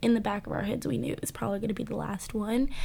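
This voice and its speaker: This woman speaks with a Southern US accent. Her pitch variation is ordinary. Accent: Southern US (Georgia). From Georgia, US South. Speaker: college student. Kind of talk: interview testimony. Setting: studio.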